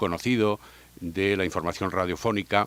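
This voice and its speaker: On a very clean recording with a silent background, a man with a fairly low pitch speaks in a serious tone with ordinary pitch variation, the sound dry and close with no echo. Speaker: radio sports broadcaster. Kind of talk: interview answer. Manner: serious, measured.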